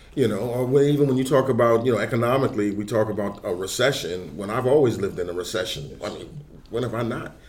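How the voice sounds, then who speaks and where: Amid noticeable background noise and audible room echo, a man in a New York accent talks at a very fast pace with hardly any pauses. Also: medium pitch for a man, ordinary pitch variation. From New York (Harlem). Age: 60s. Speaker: substance abuse counselor. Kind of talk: casual chat.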